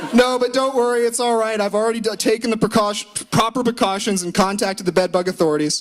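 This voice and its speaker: A man talks loud and at a very fast pace in a high pitch, with ordinary pitch variation over noticeable background noise. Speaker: law student doing comedy. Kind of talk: stand-up. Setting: stage with audience. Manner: animated.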